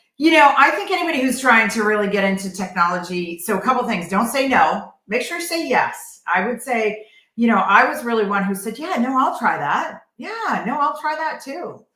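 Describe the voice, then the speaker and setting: A woman with an American accent speaks at a high pitch with very wide pitch swings. Her pace is moderate, with hardly any pauses. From New England. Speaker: tech strategist and fashion designer. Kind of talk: podcast interview. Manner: direct.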